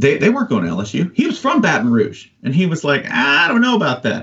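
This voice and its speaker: Vocal fry runs through this man's animated voice. He speaks at a fairly quick pace with very wide pitch swings. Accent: American. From US South. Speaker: sports writer. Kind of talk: casual chat.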